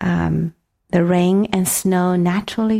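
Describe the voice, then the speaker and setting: Her voice is fairly low for a woman, dark and mellow, held in a monotone with flat intonation. She speaks very slowly on a very clean recording with a silent background. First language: Mandarin Chinese. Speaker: meditation teacher. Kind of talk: dharma talk, partly guided meditation. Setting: retreat center talk with audience. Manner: halting, many fillers.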